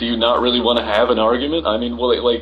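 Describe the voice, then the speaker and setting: A man with lively intonation, amid noticeable background noise and audible room echo. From not England, ethnically English. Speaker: live-stream host arguing with viewers. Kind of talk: heated debate. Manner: animated; halting.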